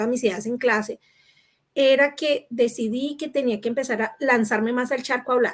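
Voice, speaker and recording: A woman speaks rather briskly in a high voice, her pitch rising and falling normally. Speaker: panel moderator. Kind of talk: panel discussion.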